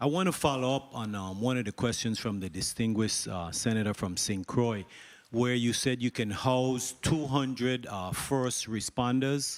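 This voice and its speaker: With a plain, everyday voice, a man talks at a moderate pace. His pitch is medium and varies in an ordinary way. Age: 60s. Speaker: senator. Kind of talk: legislative hearing questioning.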